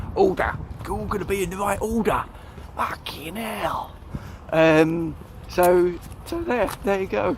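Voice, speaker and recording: A man speaks at a fairly slow pace, leaving long, frequent pauses. Audible room echo and noticeable background noise surround his voice. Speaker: YouTuber, walking vlogger. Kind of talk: casual vlog monologue. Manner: halting, many ums and repeats.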